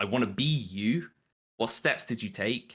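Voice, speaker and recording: A bright, sharp tone with a British accent, on a very clean recording with a silent background. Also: man. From United Kingdom. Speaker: social media manager. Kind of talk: casual live-stream Q&A.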